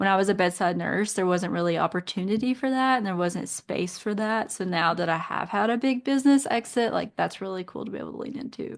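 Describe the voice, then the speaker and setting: A woman with a Kentucky accent speaks at a very fast pace with hardly any pauses, at a medium pitch with ordinary pitch variation. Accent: Southern US, Kentucky. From Eastern Kentucky. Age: 30s. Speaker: nurse and business owner. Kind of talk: podcast interview.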